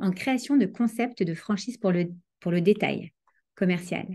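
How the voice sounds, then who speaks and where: A woman with a normal speaking voice talks at a moderate pace with ordinary pitch variation against a quiet background. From France, Paris. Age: 40s. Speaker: Torah teacher and life coach. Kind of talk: online lecture.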